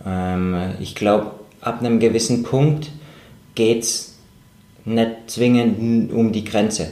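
Amid audible room echo, a man speaks at a very slow pace with fairly even intonation. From Germany. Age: 30s. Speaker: professional mountaineer and climber. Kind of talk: interview. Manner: halting, many fillers and repetitions.

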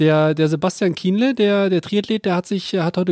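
Speaking at a fairly quick pace, a man with a high pitch and ordinary pitch variation comes through with a dry, close sound and no echo. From Lower Rhine, western Germany. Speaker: podcast co-host. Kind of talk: casual chat.

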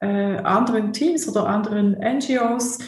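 Intonation stays fairly even as the speech unfolds at a very slow pace, with audible room echo. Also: woman. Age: 50s. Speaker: theologian and church social worker. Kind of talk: interview. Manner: halting, many fillers and repetitions.

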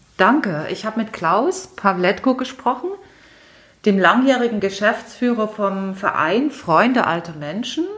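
A woman with a normal speaking voice and a fairly high pitch talks at a fairly slow pace with lively intonation. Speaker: podcast host. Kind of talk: interview. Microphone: muffled from wearing a mask.

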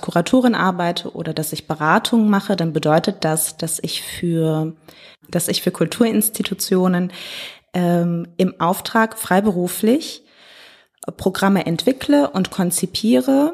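A woman talks with a fairly low pitch. Her pitch varies in an ordinary way. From Ruhr area, Germany (Hagen). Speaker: artist, curator and consultant. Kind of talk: casual interview.

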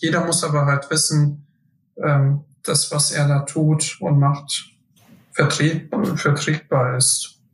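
A somewhat breathy man speaks at a very slow pace with monotone, flat intonation and very even loudness. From Hesse, Germany (Friedberg area). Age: 20s. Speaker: fitness group organizer. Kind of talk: casual interview.

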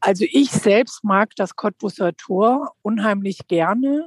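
A woman's medium-pitched voice with lively intonation, in a dry, close sound with no echo. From Lower Rhine region, Germany. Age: 50s. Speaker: politician. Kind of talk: interview. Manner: frequent hesitations.

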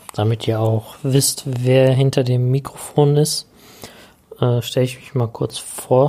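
Through noticeable background noise, a man speaks very slowly at a medium pitch in a monotone, flat intonation, with long, frequent pauses. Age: 30s. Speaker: podcast host, IT business owner. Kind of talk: podcast intro monologue. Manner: casual with filler sounds.

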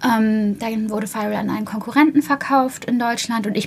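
A woman with an ordinary speaking voice and ordinary pitch variation. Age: 30s. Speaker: PR manager, media school alumna. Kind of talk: interview.

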